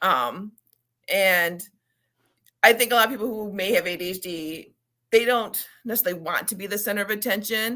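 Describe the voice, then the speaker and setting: A woman speaks in a bright, sharp tone. Her loudness swings widely, and she takes long, frequent pauses. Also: medium pitch for a woman, ordinary pitch variation, moderate pace. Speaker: children's book author and ADHD advocate. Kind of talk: interview.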